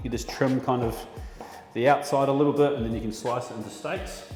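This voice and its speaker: Over music in the background and audible room echo, a man with an Australian accent talks at a fairly high pitch with fairly even intonation. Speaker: chef. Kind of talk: tutorial. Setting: butchery test shop at work. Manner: casual.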